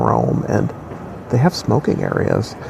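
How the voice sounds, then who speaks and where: The voice is quiet, with an American accent. Noticeable background noise is present. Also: man. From US Midwest, Wisconsin. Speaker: travel vlogger. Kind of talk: casual vlog chat. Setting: airport terminal. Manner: hesitant with many fillers.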